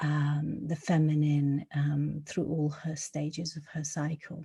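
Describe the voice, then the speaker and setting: A woman's very deep, low, somewhat breathy voice at a very slow pace, in a very clean recording with a silent background. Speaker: spiritual card reader. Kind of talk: tarot/oracle card reading to camera. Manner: slow, with frequent fillers.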